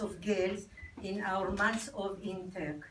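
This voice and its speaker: Over noticeable background noise and audible room echo, a woman talks at a fairly slow pace in a medium pitch. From Israel. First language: Hebrew. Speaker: army veteran. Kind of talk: reading aloud. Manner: halting.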